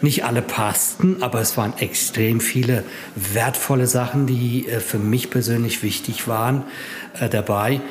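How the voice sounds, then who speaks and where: A man's medium-pitched voice at a fairly slow pace, fairly even intonation, and music in the background. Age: 50s. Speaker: patient with myasthenia, support group member. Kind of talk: interview. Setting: support group meeting. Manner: halting.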